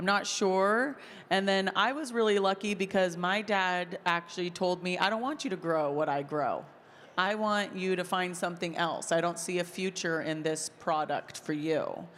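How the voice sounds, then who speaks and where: Captured in a very clean recording with a silent background, a normal speaking voice moves at a moderate pace with ordinary pitch variation. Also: woman, medium pitch for a woman. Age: 30s. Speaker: content creator and farmer. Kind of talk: interview conversation. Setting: stage with audience at a convention.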